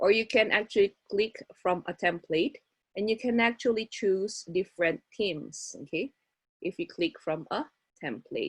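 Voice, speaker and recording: Breathing somewhat audibly, a woman speaks at a moderate pace with lively intonation in a dry, close sound with no echo. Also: medium pitch for a woman. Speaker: workshop instructor. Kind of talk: tutorial. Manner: code-switching Taglish.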